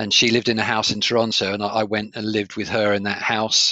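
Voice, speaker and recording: A man's fairly low voice with a southern English accent, flat and monotone in intonation. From England (Kent, Sevenoaks). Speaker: coach and trainer. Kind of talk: interview conversation. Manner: clear, articulate.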